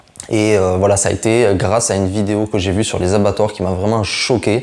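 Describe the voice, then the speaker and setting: Amid noticeable background noise, a man speaks at a moderate pace and a fairly low pitch with fairly even intonation. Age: 20s. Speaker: nurse and food vlogger. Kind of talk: casual self-introduction vlog. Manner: casual, with many fillers.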